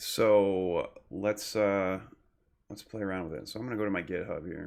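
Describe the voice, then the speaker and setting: With an American accent, a man talks at a moderate pace with fairly low pitch, fairly even intonation, and big swings in loudness. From Michigan, US. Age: 30s. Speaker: graduate student instructor. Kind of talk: screen-recorded tutorial. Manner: casual, hesitant with fillers. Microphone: new desktop microphone.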